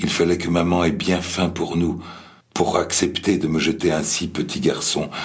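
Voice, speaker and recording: Solemn in tone, a man speaks with a very deep, low pitch and vocal fry. His pace is fairly slow. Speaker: memoir reader. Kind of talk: reading aloud a memoir. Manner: slow, solemn, reflective.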